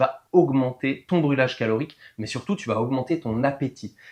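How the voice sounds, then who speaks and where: A man speaks in an ordinary speaking voice at a fairly high pitch. His intonation is lively. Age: 40s. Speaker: weight loss coach. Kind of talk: tutorial. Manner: casual.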